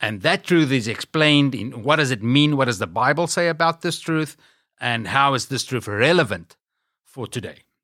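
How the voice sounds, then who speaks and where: A man with a South African accent, medium pitch and a bright, sharp tone, with lively intonation at a moderate pace, in a very clean recording with a silent background. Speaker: ministry leader. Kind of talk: interview.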